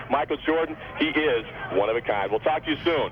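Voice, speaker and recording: Noticeable background noise runs behind the speech. A man talks at a fairly high pitch. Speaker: TV news reporter. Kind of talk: live phone report. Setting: phone call from crowded hotel. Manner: quiet.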